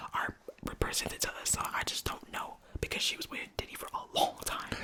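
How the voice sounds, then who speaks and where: A woman whispering at a fairly quick pace, with noticeable background noise. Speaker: podcast host, half of a couple. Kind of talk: casual podcast conversation with her partner.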